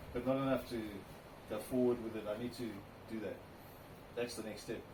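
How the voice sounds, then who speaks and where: A man with a South African accent speaks at medium pitch and a fairly quick pace in a monotone, flat intonation. There is audible room echo and noticeable background noise. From South Africa, Cape Town. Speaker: classic car owner. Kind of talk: interview.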